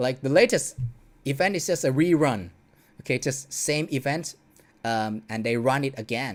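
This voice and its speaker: A non-native accent at a moderate pace, broken by long, frequent pauses. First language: not English. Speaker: streamer commenting on dance game videos. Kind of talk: casual livestream commentary. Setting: home livestream. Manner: hesitant, many fillers.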